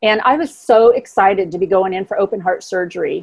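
A woman with a plain, everyday voice talks at a fairly quick pace with lively intonation. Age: 60s. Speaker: motivational speaker and writer. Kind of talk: interview.

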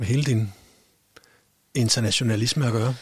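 At a moderate speed, a man talks with a medium-pitched voice. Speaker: podcast host. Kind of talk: casual interview. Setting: studio. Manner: halting.

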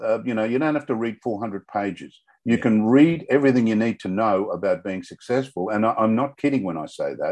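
Over a quiet background, a man with a medium pitch and ordinary pitch variation talks at a very fast pace. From Australia. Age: 70s. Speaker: author, semi-retired businessman. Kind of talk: casual interview.

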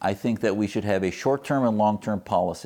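With an American accent and an unremarkable speaking voice, a man talks at a fairly quick pace, fairly low in pitch, with ordinary pitch variation. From US Midwest, Wisconsin. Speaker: physician and activist. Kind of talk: interview.

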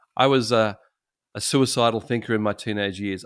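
With an Australian accent, the speaker moves at a fairly quick pace using ordinary pitch variation, on a very clean recording with a silent background. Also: man. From Sydney, Australia. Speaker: pastor. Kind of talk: interview. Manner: halting, many repeated words.

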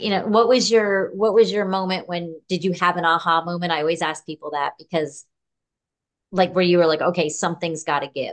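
A woman talks at a fairly quick pace in a normal speaking voice. Her pitch is fairly low, with ordinary variation. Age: 50s. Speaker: podcast host. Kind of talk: interview.

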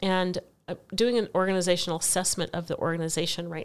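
Fairly low in pitch, a woman talks fairly quickly in an ordinary speaking voice. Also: very clean recording, silent background. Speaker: education advocate, school board member. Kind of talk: conversational interview. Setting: in person at guest's home.

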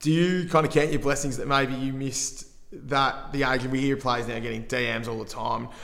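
Through audible room echo and noticeable background noise, a man with an Australian accent speaks at a fairly quick pace in fairly even intonation. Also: medium pitch for a man. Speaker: podcast host. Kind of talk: interview.

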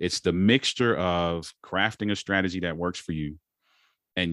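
On a very clean recording with a silent background, a man with a very deep, low pitch speaks at a fairly slow pace. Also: dry, close sound with no echo. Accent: American. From Baltimore, Maryland, US. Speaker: marriage coach and speaker. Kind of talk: casual interview.

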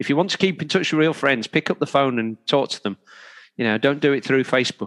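A man's fairly high voice with an English accent at a very fast pace, ordinary pitch variation, a dry, close sound with no echo, and a very clean recording with a silent background. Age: 50s. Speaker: triathlon coach. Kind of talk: interview. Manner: halting.

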